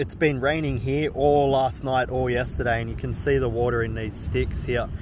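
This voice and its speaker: A somewhat breathy man is heard over noticeable background noise, the sound dry with no echo. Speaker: family vlogger. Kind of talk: casual vlog chat. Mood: amused, laughing storyteller. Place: beach. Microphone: phone near.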